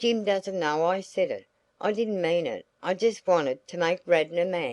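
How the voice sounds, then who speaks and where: A woman does a raspy put-on character voice at a medium pitch and a moderate pace. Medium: read story.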